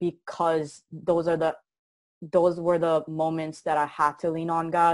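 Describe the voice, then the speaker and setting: With a Korean accent, the voice carries a dark, mellow tone. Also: woman. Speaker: motivational speaker. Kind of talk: interview. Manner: animated.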